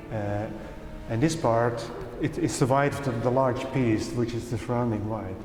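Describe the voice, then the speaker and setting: The speaker talks at a moderate pace in a Dutch accent. Music plays in the background, and room echo is audible. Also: man. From Netherlands. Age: 60s. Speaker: painter. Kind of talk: interview. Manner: halting.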